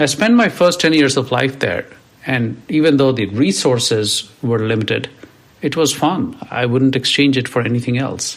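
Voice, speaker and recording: Noticeable noise sits behind a man at medium pitch. He speaks at a fairly slow pace with ordinary pitch variation. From India, rural village. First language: an Indian language; English is third. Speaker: podcast host, CEO and author. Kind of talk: personal storytelling monologue.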